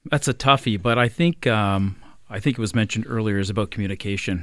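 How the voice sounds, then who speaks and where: A man with an unremarkable speaking voice, fairly low in pitch, at a fairly quick pace, on a very clean recording with a silent background. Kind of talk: casual panel chat. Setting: studio.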